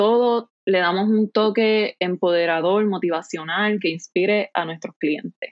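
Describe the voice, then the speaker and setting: Speaking at a fairly slow pace with hardly any pauses, a woman uses a plain, everyday voice at medium pitch with fairly even intonation. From Puerto Rico, Ponce (south). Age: 20s. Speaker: online store founder. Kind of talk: interview conversation.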